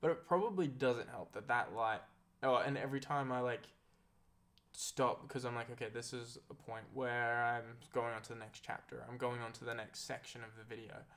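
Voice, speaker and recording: With an Australian accent, a man speaks at a moderate pace, his medium-pitched voice following fairly even intonation. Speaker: content creator. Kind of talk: casual chat. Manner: halting.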